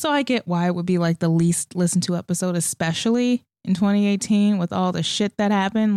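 A plain, everyday voice moves at a fairly quick pace with lively intonation. The sound is dry and close, with no echo. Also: woman. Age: 20s. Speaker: podcast host. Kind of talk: casual monologue.

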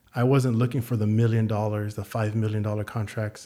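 A man with an American accent has a dark, mellow tone and talks at a fairly quick pace. The recording is very clean, with a silent background. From San Antonio, Texas. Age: 40s. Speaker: gym owner and fitness and finance coach. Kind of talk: casual interview chat.

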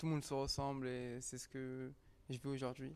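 This man's medium-pitched voice stays monotone, with flat intonation. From Paris 19th arrondissement. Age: young. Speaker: university student and documentary participant. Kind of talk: interview. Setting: recorded at a culture venue.

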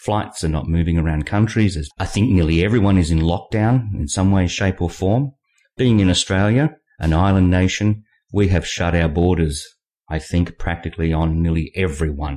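The voice has a dark, mellow tone and ordinary pitch variation. It moves at a moderate pace over a quiet background. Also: man. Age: 50s. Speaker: novelist hosting own podcast. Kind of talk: monologue podcast.

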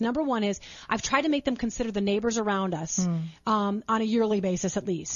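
A very fast woman's voice, fairly high in pitch, with ordinary pitch variation. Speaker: radio show guest, mom show host. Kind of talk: conversational, faith-based parenting advice. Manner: fast talker.

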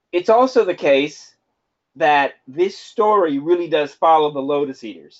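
A man speaks in a plain, everyday voice. His intonation is lively and his pace moderate. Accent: American. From Houston, Texas. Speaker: podcast co-host. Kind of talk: casual chat.

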